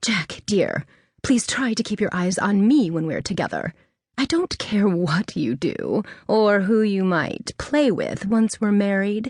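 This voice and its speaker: A female-sounding, put-on character voice, breathy and at medium pitch. The pace is moderate. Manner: scolding.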